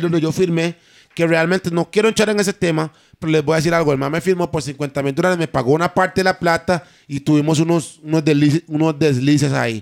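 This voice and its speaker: Over a dry, close sound with no echo, a man talks at a very fast pace with fairly even intonation. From Costa Rica, Limón. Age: 20s. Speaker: singer. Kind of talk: casual chat.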